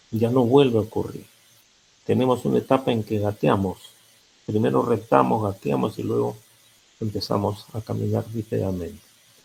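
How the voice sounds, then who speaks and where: A man with a fairly low, somewhat breathy voice speaks at a moderate pace, pausing long and often while his pitch swings very widely. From Peru. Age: 80s+. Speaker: psychologist. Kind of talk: lecture.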